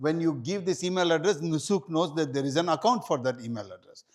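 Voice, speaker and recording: A man speaks in a high voice at a fairly quick pace. His intonation is lively. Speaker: hajj guide and seminar presenter. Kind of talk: seminar presentation. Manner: fast.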